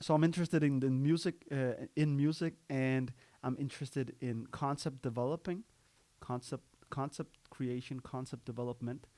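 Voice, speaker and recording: A man speaks at a moderate pace with a dark, mellow tone, a medium pitch and fairly even intonation. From Denmark, Copenhagen (Amager). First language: Danish. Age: 30s. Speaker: podcaster. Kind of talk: casual monologue. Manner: halting, with many fillers and restarts.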